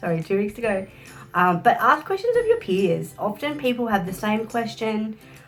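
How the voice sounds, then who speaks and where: With music in the background, a woman speaks at a moderate pace in an Australian accent. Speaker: social work graduate. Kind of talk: casual talk to camera.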